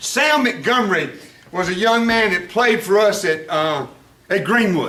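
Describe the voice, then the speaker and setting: Someone with a Southern US accent speaks in a raised, projected voice with lively intonation at a moderate pace. Audible room echo and noticeable background noise are present. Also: man. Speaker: former high school football coach. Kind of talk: after-dinner speech.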